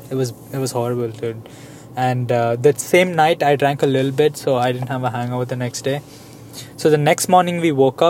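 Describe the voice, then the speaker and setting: Over noticeable background noise, a man talks at a fairly quick pace in a medium pitch. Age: 20s. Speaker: podcast co-host. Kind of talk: casual chat. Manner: animated.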